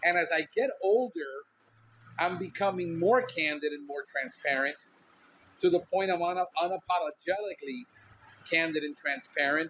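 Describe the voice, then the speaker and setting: A loud man's voice, high in pitch, at a moderate pace with ordinary pitch variation and long, frequent pauses. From Miami, Cuban-American. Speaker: podcast host, pest control businessman. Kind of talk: casual podcast monologue. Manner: intense, outspoken.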